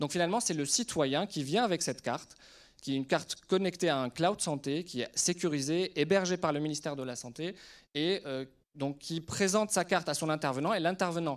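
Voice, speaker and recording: On a very clean recording with a silent background, a man with an ordinary speaking voice talks at a fairly quick pace, his pitch fairly high with ordinary pitch variation. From Lebanon. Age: 30s. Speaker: surgeon and startup CEO. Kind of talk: conference talk to an audience.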